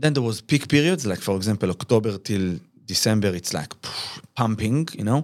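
A very clean recording with a silent background, lively intonation, a fairly quick pace, and an Israeli accent. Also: man. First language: Hebrew. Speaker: business founder. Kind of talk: interview. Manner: halting.

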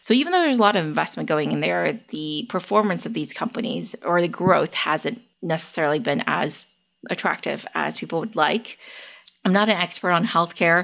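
A woman's fairly low voice with vocal fry and an American accent, at a moderate pace. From US West Coast, San Francisco Bay Area. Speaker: tech investor and analyst. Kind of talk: interview.

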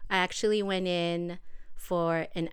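Speaking in a flat monotone, a woman with an American accent has a fairly low-pitched voice. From South Bay of Los Angeles. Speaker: NICU parent. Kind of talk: casual chat. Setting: home.

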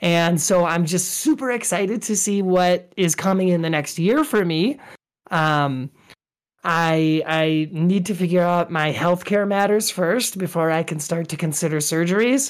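On a very clean recording with a silent background, a woman with a fairly low pitch speaks at a fairly slow pace with ordinary pitch variation. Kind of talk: casual interview chat. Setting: live stream show. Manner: halting, with frequent fillers.

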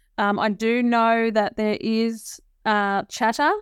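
A woman with an Australian accent, in a very clean recording with a silent background and a dry, close sound with no echo. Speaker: nursing regulator director. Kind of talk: interview. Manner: hesitant with many fillers.

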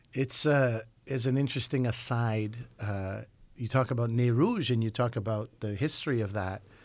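A man with a Canadian accent and an ordinary speaking voice talks at a medium pitch and moderate pace with fairly even intonation on a very clean recording with a silent background. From Montreal, Quebec, Canada. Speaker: radio host. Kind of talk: interview. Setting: studio.

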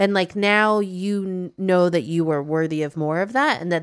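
A woman with an unremarkable speaking voice and an American accent, fairly low in pitch with ordinary pitch variation, in a very clean recording with a silent background. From US Midwest. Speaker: podcast host and media founder. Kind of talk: casual chat.

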